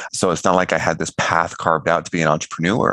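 A man with a very deep, low pitch speaks over noticeable background noise, the sound dry and close with no echo. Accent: American. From California. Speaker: financial educator. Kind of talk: podcast interview. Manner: animated.

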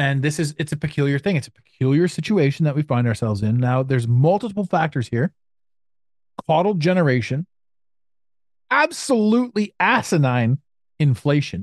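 A man with a Canadian accent talks at a moderate pace, his fairly high pitch making very wide swings, with long, frequent pauses. Loudness stays very even, and the sound is dry and close with no echo. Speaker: podcast host and business mentor. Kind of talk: casual interview chat.

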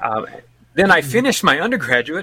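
A man's bright, sharp voice with an American accent, delivered at a very fast pace. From Alabama. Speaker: missionary and podcaster. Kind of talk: casual interview chat.

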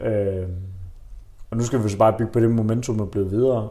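Fairly low in pitch, a man speaks at a fairly quick pace with monotone, flat intonation. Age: 20s. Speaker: football fan, podcast guest. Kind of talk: casual chat. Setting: living room over coffee.

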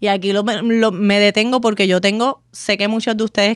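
A woman with a Puerto Rican accent, a dry, close sound with no echo, and a very clean recording over a silent background. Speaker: lawyer and podcast host. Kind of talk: solo legal explainer podcast. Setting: studio. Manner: conversational.

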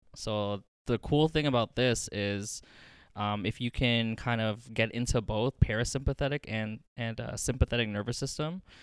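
A man speaks in a normal speaking voice at medium pitch with ordinary pitch variation and a moderate pace, the sound dry and close with no echo on a very clean recording with a silent background. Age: 20s. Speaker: massage therapy student. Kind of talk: casual chat.

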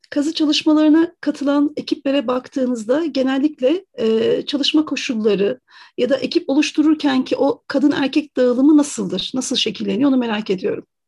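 Speaking fairly quickly, a woman keeps her voice at a high pitch. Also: ordinary pitch variation. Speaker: radio host. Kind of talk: radio interview.

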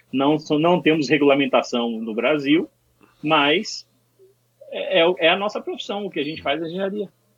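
Long, frequent pauses break up a man's moderate pace, his fairly high pitch carrying lively intonation. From Bahia, Brazil. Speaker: mixing engineer. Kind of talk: casual chat.

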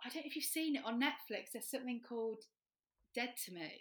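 The woman has a high-pitched voice. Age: 30s. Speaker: comedy performer and writer. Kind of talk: casual chat.

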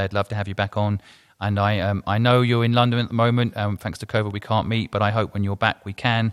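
A man speaks very fast with an English accent, his pitch fairly low and his intonation flat and monotone. The recording is very clean and dry, close with no echo, over a silent background. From England. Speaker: podcast host, entrepreneur. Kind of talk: interview.

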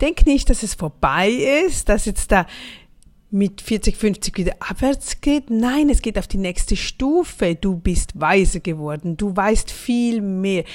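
The woman's pitch swings very widely as she talks at a very slow pace. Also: medium pitch for a woman, very clean recording, silent background. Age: 40s. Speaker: motivational podcaster. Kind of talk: motivational monologue.

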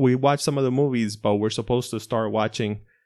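A man speaks in a normal speaking voice with fairly even intonation. His pace is fairly quick against a quiet background. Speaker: podcast co-host. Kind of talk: casual chat. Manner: joking, playful.

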